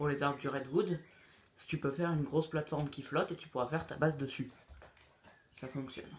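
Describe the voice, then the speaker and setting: A man speaks fairly quickly in a fairly high, monotone, flat voice. He leaves long, frequent pauses, and his loudness swings widely. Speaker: gaming youtuber. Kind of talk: tutorial. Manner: halting; casual.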